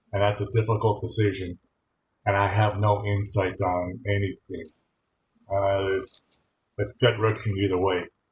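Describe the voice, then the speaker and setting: In an American accent, a man speaks at a moderate pace with long, frequent pauses, his fairly low, somewhat breathy voice held in monotone, flat intonation. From Michigan. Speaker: college instructor. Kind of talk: online class lecture.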